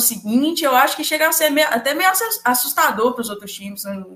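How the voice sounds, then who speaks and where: A woman's high-pitched voice is heard with audible room echo. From Minas Gerais, Brazil. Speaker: football fan channel co-host, physics student. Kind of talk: casual chat.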